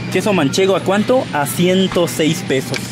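Music plays in the background. The speaker moves at a fairly slow pace. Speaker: vlogger. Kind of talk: casual vlog chat. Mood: playful, joking. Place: shop. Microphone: phone near.

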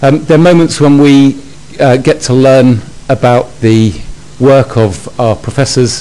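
A man uses an ordinary speaking voice at a medium pitch, fairly slow, with ordinary pitch variation. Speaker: host introducing the lecturer. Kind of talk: formal introduction. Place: hall.

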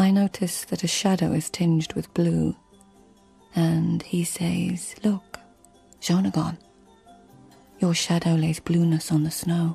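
Over faint background music, a woman in a put-on character voice speaks slowly with long, frequent pauses, little pitch movement, vocal fry, a husky, rough edge and a dark, mellow tone. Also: fairly low pitch for a woman.

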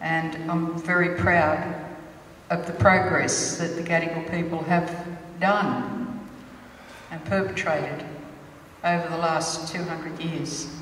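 Very slow with long, frequent pauses, a woman speaks in a fairly low voice amid audible room echo and light background noise. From Sydney, Australia (Alexandria). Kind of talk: ceremonial welcome speech. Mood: proud, warm, measured. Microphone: handheld.

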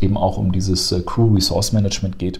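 A somewhat breathy man with a dark, mellow tone, moderate pace and fairly even intonation. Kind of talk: casual educational chat.

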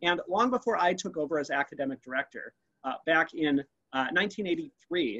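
The delivery has an enthusiastic tone, very wide pitch swings and a moderate pace. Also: man. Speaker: anthropology museum curator. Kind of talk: virtual museum tour presentation. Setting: video call. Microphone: webcam.

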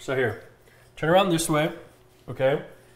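A man with an American accent and a fairly high pitch speaks amid audible room echo. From US Midwest. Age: 20s. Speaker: streamer. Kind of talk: casual chat. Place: kitchen. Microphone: lapel.

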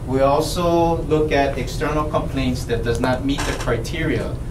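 A man speaking at a fairly slow pace amid noticeable background noise. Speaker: police officer. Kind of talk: briefing presentation. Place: meeting room.

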